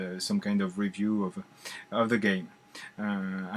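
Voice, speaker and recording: In a French accent, a man speaks at a fairly slow pace and fairly low pitch with monotone, flat intonation. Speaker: board game reviewer. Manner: deliberately slow; hesitant, many filler sounds.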